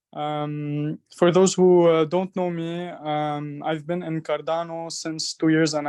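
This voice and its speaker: Against a quiet background, a man with an Arabic accent speaks at a fairly high pitch for a man. His delivery is very slow, in a monotone, flat intonation. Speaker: voice actor and community project presenter. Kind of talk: online community meeting presentation. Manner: halting, many fillers.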